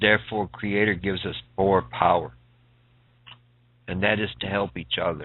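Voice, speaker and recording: Taking long, frequent pauses, a man speaks at a moderate pace in a fairly low pitch with fairly even intonation. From Sioux Valley Dakota Nation, Canada. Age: 50s. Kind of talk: radio interview.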